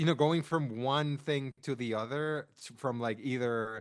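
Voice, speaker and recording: A man with a non-native accent at a moderate pace. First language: not English. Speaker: podcast co-host. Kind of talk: casual chat. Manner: animated.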